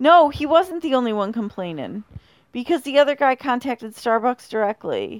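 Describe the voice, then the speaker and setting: In a very clean recording with a silent background, a woman speaks at a moderate pace in a high-pitched, playful tone with lively intonation. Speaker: podcast host. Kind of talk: casual comedic chat. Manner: joking, playful.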